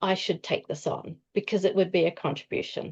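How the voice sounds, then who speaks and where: Against a quiet background, a woman with a plain, everyday voice speaks at a medium pitch with ordinary pitch variation. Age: 60s. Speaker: nutritionist and masters powerlifter. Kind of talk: interview.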